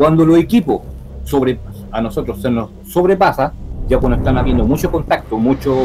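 A man's fairly quick speech is heard over noticeable background noise. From Chile. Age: 40s. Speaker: paranormal investigator. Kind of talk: interview. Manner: halting.

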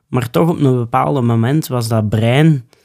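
A voice with a dark, mellow tone speaks at a fairly slow pace with ordinary pitch variation on a very clean recording with a silent background. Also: man. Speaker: bushcraft instructor. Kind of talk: casual interview. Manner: animated.

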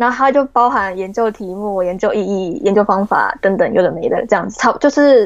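A woman speaks in an ordinary speaking voice at a fairly quick pace, her pitch fairly high with ordinary variation. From Taiwan. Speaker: graduate student. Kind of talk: interview.

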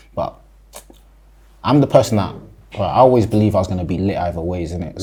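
Speaking with a London accent, a man uses lively intonation in a very deep, low, somewhat breathy voice with a dark, mellow tone. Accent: London Multicultural English. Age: 20s. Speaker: rapper. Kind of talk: interview. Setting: studio.

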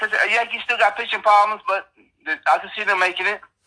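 A man speaks in a raised, projected voice. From Ohio. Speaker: sports podcast co-host. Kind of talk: casual chat.

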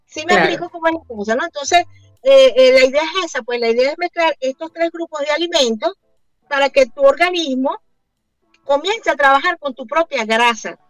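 Music plays behind a woman with a high voice and lively intonation. She talks at a fairly quick pace in a dry, close sound with no echo. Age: 50s. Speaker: keto diet advocate and entrepreneur. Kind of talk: radio interview.

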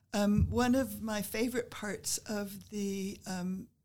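A woman's somewhat breathy voice, dark and mellow in tone, medium in pitch, with ordinary pitch variation. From US Midwest and Northeast, moved around as a child. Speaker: retired history professor. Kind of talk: interview.

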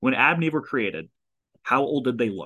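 A man with an American accent talks at a medium pitch in a bright, sharp tone against a quiet background. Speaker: podcast host. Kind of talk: casual chat. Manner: fast talker.

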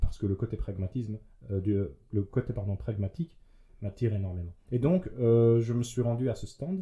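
A man's somewhat breathy, dark, mellow voice at a medium pitch, with ordinary pitch variation, a moderate pace and long, frequent pauses. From Belgium, Liège region. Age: 30s. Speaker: youth political representative. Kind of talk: casual conversation.

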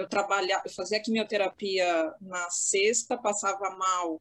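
This woman has an unremarkable speaking voice. She talks at a fairly slow pace with fairly even intonation. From Santos, São Paulo state, Brazil. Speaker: lawyer. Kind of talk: casual chat. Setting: video call from home office.

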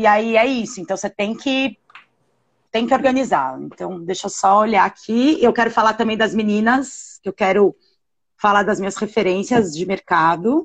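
A normal speaking voice shows ordinary pitch variation while moving at a moderate tempo. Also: woman, fairly high pitch for a woman. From Brazil, São Paulo. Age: 40s. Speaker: cultural producer. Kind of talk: live-stream interview.

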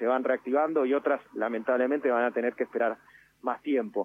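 A man talks at a fairly quick pace with fairly even intonation. It is an unremarkable speaking voice. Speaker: tourism official. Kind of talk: radio interview. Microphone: line cut out briefly.

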